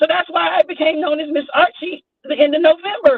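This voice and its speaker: A woman speaks with an American accent. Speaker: YouTube livestreamer. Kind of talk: casual chat.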